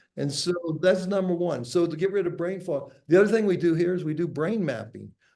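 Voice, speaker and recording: Fairly quick speech in an American accent, with ordinary pitch variation and audible room echo. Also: man, high pitch for a man. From USA. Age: 60s. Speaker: entrepreneur and author. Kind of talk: podcast interview.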